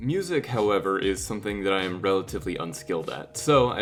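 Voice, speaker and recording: With music in the background, a man with an American accent talks at a very fast pace, his fairly low voice carrying lively intonation. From California. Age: 20s. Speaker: video editor. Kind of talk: video diary narration.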